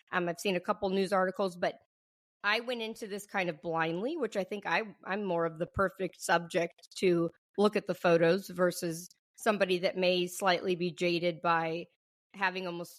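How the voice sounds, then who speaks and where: This woman speaks in a normal speaking voice at a medium pitch and moderate pace, with ordinary pitch variation, over a dry, close sound with no echo and a silent, very clean background. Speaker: nurse, podcast host. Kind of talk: casual podcast talk.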